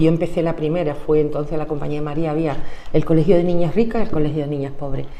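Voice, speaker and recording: The speech comes at a very fast pace, with audible echo in the room. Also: woman. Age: 60s. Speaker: trade unionist. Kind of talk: oral history interview.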